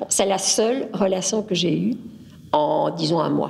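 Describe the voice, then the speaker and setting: Medium pitch from a woman's voice, with noticeable background noise. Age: 70s. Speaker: interviewee, local resident. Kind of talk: testimony. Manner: halting.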